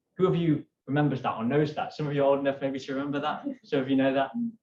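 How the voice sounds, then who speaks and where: A man's somewhat breathy voice with a fairly high pitch. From United Kingdom. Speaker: climate activist. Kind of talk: keynote talk. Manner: animated.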